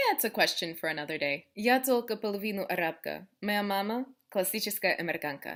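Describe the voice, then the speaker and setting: A woman's medium-pitched voice with an American accent and lively intonation, in a very clean recording with a silent background. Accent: American accent in Russian. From USA. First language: English (speaking Russian). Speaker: vlogger. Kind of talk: casual chat. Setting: sitting on the floor at home. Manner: animated.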